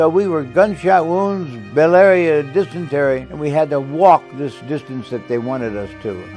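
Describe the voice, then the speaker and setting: With music in the background, a man speaks at a moderate pace and a fairly high pitch, his intonation lively. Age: 80s+. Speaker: war veteran. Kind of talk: interview answer.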